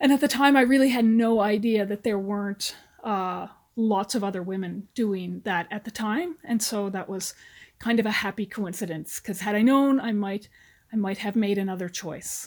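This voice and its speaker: An unremarkable speaking voice from a woman, medium in pitch with ordinary pitch variation, at a moderate pace on a very clean recording with a silent background. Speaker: retired army officer. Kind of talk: interview.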